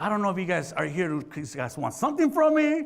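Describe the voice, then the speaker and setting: A man with an animated tone and very wide pitch swings at a fairly quick pace, with audible room echo and crowd noise in the background. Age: 30s. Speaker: community program founder. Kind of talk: speech to an audience. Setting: stage with audience.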